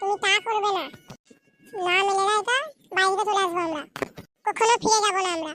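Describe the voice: A cartoonish character voice from a woman, squeaky and extremely high-pitched, with fairly even intonation. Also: moderate pace.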